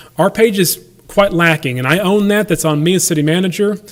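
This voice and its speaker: Speaking fairly quickly, a man with a high pitch uses ordinary pitch variation. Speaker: city manager. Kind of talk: budget presentation at council meeting. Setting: city council meeting room. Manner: fast; halting, many fillers and restarts.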